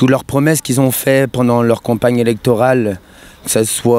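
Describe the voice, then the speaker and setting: The man has a normal speaking voice at a medium pitch. He talks at a moderate pace, and the sound is dry and close with no echo. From Brittany, France. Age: 20s. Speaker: protester. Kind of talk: street interview.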